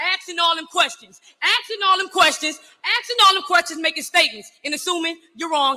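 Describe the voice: This is a put-on character voice with a bright, sharp tone. It moves at a fairly quick pace with ordinary pitch variation. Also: woman, extremely high pitch for a woman.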